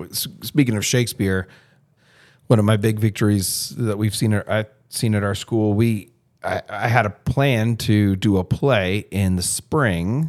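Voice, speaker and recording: A man with an American accent speaks in a plain, everyday voice, fairly low in pitch, at a fairly slow pace with ordinary pitch variation. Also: very clean recording, silent background. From South Florida. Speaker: school administrator and podcast host. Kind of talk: casual discussion.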